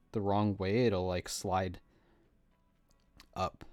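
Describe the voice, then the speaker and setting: Music sits in the background while a man with a fairly low voice speaks fairly slowly with fairly even intonation, the sound dry and close with no echo. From New Jersey, US. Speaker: streamer. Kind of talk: casual chat. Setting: live stream. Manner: loud.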